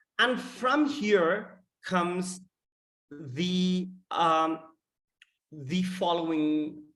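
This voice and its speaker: In a room with audible echo, a man talks at a high pitch. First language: not English. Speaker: data scientist presenting research. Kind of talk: conference talk. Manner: halting with many fillers.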